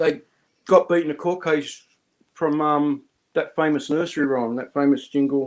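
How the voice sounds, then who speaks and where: This man has an Australian accent and a fairly high pitch. He speaks at a moderate pace. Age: 50s. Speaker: live stream host. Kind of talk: casual chat. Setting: live stream with chat.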